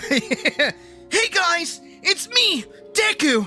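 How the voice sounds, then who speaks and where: A put-on character voice at an extremely high pitch with very wide pitch swings, over clear background music. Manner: put-on cartoon voice.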